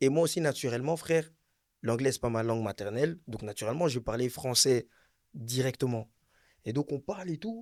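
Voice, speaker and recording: On a very clean recording with a silent background, a man talks fairly quickly at a medium pitch, with ordinary pitch variation and long, frequent pauses. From Belgium. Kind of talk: casual chat. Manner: animated.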